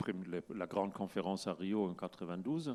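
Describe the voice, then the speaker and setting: The recording is very clean, the background silent. A man's voice sounds very deep and low, with a dark, mellow tone. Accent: German. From Germany. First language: German (speaking French). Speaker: climate scientist. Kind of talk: conference talk. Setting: stage with audience. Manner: halting.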